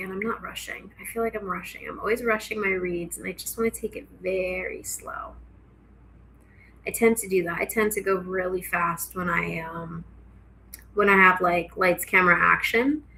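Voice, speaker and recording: A woman talks at a moderate pace in a medium pitch, with a plain, everyday voice. Her intonation stays fairly even while her loudness swings widely. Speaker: tarot reader. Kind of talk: casual tarot reading to camera. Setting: home kitchen, filming herself on camera.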